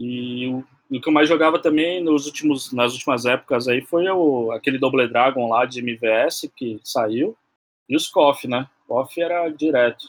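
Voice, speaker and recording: An ordinary speaking voice from a man, medium in pitch with ordinary pitch variation, at a fairly slow pace. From São Paulo East Zone, Brazil. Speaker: gamer. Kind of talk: casual chat.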